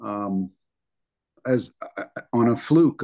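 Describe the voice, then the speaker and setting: A man's dark, mellow voice sits at a medium pitch, heard against a quiet background. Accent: New Jersey. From New Jersey, US. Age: 60s. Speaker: bodybuilder. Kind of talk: interview.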